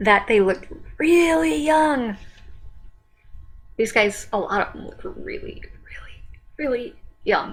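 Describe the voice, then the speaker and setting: A woman at a fairly slow pace with very wide pitch swings, music in the background. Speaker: music reaction youtuber. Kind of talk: casual reaction commentary. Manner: hesitant, many fillers.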